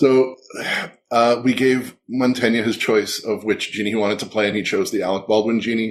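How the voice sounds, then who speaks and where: A man mumbles at a fairly quick pace, his pitch medium for a man. His intonation is monotone and flat. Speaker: podcast guest, show co-creator and writer. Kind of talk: casual chat. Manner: mumbling; soft-spoken.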